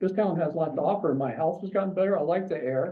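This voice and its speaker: The man's voice is high-pitched, with an American accent. An audible room echo surrounds it. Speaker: member of the public at a city council meeting. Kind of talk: public comment. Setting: city commission meeting. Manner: halting, many fillers.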